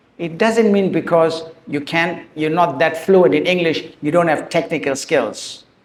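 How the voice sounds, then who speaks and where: Audible room echo surrounds a man with a non-native accent and a high pitch. He speaks at a fairly slow pace with ordinary pitch variation. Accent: noticeable non-native. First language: Tamil. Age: 60s. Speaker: author and teacher. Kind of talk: talk to school students. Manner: emotional.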